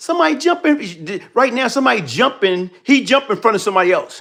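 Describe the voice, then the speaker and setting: The tone is animated, with very wide swings in pitch. The pace is fairly quick, with hardly any pauses. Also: man. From New York. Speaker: commentary livestream host. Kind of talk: live commentary.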